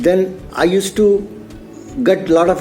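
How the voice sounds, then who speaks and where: A man's voice with music playing in the background. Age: 60s. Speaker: retired security officer. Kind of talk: testimonial interview.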